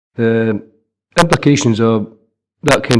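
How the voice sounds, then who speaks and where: Speaking at a moderate pace in a Scottish accent, a man keeps a medium pitch and fairly even intonation. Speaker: local councillor. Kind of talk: council meeting debate.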